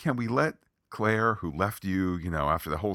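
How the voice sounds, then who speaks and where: A plain, everyday voice at a moderate pace with ordinary pitch variation, in a dry, close recording with no echo, very clean and with a silent background. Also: man. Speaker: podcast host. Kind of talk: casual podcast review chat.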